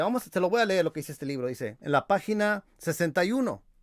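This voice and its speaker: A high-pitched man talking at a fairly quick pace with very wide pitch swings, in a dry, close sound with no echo on a very clean recording with a silent background. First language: English (speaking Spanish). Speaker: religious apologetics youtuber. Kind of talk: video rebuttal commentary. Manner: halting with repetitions.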